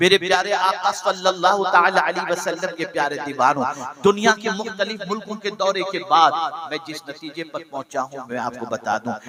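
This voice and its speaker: Over noticeable background noise, a man speaks in a high voice with lively intonation. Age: 60s. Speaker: Islamic preacher. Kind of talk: sermon. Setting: stage with audience.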